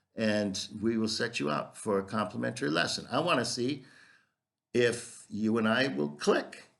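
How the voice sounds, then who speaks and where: The speaker uses lively intonation and vocal fry in an American accent. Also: man, medium pitch for a man. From US Midwest, Minnesota. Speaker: English teacher. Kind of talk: self-promotional video introduction. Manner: slow; hesitant with fillers.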